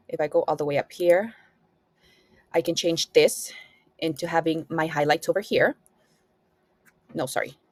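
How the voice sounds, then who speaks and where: With a non-native accent, a woman of fairly low pitch talks at a moderate pace with fairly even intonation and long, frequent pauses, the sound dry and close with no echo. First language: not English. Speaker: student app reviewer. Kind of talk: tutorial. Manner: hesitant, many fillers.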